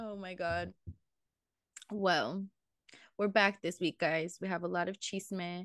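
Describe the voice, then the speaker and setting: A woman talks at a very slow pace, with long, frequent pauses and big swings in loudness. The sound is dry and close with no echo, and the background is quiet. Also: fairly even intonation. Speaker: podcast co-host. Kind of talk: casual chat.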